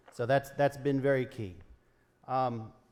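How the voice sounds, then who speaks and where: In an American accent, a man with an ordinary speaking voice and a fairly high pitch talks at a moderate pace. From Western Maryland. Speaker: state senator and congressional candidate. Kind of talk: political debate.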